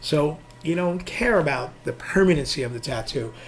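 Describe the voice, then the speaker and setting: There is noticeable background noise. A man with a fairly high pitch speaks with lively intonation. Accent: New York. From New York City, Queens. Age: 60s. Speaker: nightlife designer and club operator. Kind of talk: casual interview chat. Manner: halting, repetitive.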